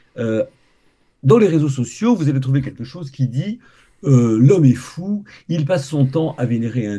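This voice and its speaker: Somewhat breathy and dark, mellow in tone, a man speaks at a moderate pace with very wide pitch swings. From Quebec. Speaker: science communicator. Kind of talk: interview.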